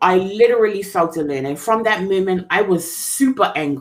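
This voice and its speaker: A woman speaks loudly at a fairly slow pace. Her pitch swings very widely. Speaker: life coach sharing her personal story. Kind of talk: testimony. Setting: studio.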